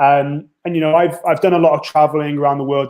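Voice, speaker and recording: He is a man with a North Welsh accent. His pitch is fairly high and his intonation fairly even. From North Wales. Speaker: university international recruitment officer. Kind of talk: interview.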